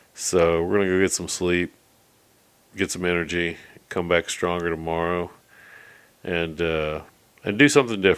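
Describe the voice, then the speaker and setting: A man speaks with a very deep, low pitch. He leaves long, frequent pauses. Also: ordinary pitch variation, moderate pace. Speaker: video blogger. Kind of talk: casual monologue.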